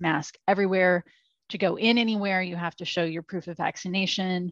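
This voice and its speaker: In a dry, close sound with no echo and a quiet background, a woman with an American accent speaks in a plain, everyday voice at a fairly low pitch with fairly even intonation. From US Midwest. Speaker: brewery education manager and podcast co-host. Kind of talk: casual chat.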